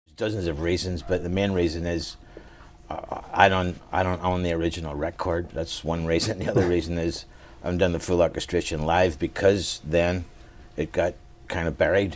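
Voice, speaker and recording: Moderate-paced speech with fairly even intonation, set against noticeable background noise. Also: man, very deep, low pitch for a man. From Northern Ireland. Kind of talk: interview answer.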